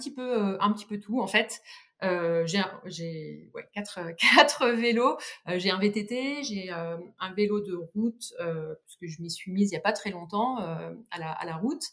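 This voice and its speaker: At a fairly slow pace, a woman speaks with lively intonation and big swings in loudness. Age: 30s. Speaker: cycling community founder. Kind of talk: podcast interview. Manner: halting.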